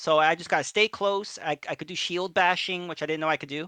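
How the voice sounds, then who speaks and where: The recording is very clean, with a silent background. The speaker talks with a New York accent. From New York City area. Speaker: gamer streamer. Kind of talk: casual chat.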